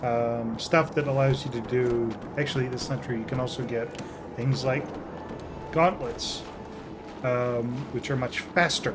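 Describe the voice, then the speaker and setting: A man mumbles at a fairly slow pace in a medium pitch, with fairly even intonation and long, frequent pauses, amid noticeable background noise and audible room echo. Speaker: video game let's play commentator. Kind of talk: casual gameplay commentary. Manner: mumbling.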